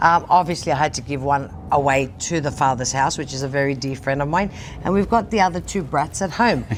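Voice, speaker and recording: A woman with a very deep, low voice talks at a fairly quick pace with lively intonation. Noticeable background noise runs underneath. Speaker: TV show host and social media personality. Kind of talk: casual interview chat. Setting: TV studio. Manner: animated.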